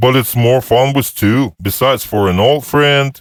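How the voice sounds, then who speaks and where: At a moderate pace, a man uses a put-on character voice with medium pitch and very even loudness. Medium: read story. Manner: quiet, terse, matter-of-fact.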